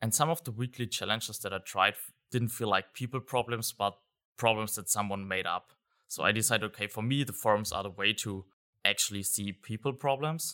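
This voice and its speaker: A man with a German accent talks at a fairly quick pace in a fairly low, bright, sharp voice with ordinary pitch variation and big swings in loudness. The recording is very clean with a silent background and a dry, close sound with no echo. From Germany. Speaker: software consultant. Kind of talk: interview. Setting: live event venue.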